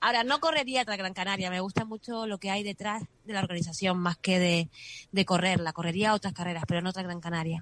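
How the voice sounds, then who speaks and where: A woman at a very fast pace and medium pitch, with ordinary pitch variation. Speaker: race communications director. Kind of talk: radio interview.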